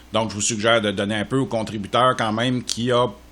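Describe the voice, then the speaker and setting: A man with a Quebec accent, medium pitch and a moderate pace. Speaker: software tutorial creator. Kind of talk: tutorial. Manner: casual, with frequent hesitations.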